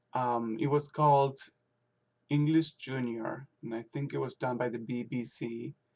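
This is an ordinary speaking voice, moving at a fairly slow pace with fairly even intonation. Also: man, medium pitch for a man. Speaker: language teacher. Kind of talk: video blog monologue. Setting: at home. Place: home room. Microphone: webcam.

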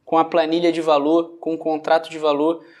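The man's voice is high-pitched, with monotone, flat intonation. He keeps a moderate pace against a quiet background. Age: 20s. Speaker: digital marketing agency owner. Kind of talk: testimonial. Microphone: phone near.

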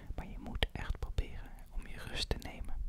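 Loud background noise surrounds a man's voice. The sound itself is dry, with no echo. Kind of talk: role-play consultation, calm soft talk. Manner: soft-spoken reassuring doctor voice. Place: home room. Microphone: studio mic.

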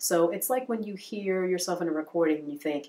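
Her voice is fairly low for a woman, warm in tone, with lively intonation. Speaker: voice actor and voiceover coach. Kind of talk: tutorial. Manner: warm and encouraging. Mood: warm, encouraging. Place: home room.

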